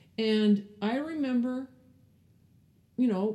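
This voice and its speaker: A woman speaks with an American accent. Her tone is dark and mellow, and somewhat breathy. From California, French Canadian family. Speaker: film producer. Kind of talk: interview.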